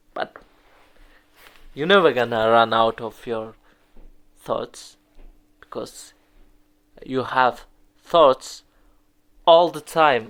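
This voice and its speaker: Talking at a very slow pace with long, frequent pauses, a man with a non-native accent shows big swings in loudness and ordinary pitch variation. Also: medium pitch for a man. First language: not English. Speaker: English learner practicing speaking. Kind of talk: solo monologue practice. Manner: halting. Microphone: phone recording.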